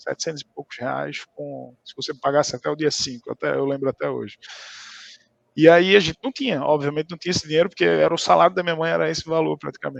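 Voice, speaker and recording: Here a man's voice comes across dry and close, with no echo. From Brazil, Recife (Pernambuco). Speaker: tech account manager. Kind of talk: interview. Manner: casual, hesitant with many fillers.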